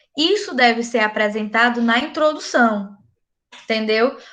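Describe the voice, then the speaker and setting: Over a quiet background, a woman speaks with a high pitch and a bright, sharp tone. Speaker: university lecturer. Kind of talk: online lecture. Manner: casual, animated.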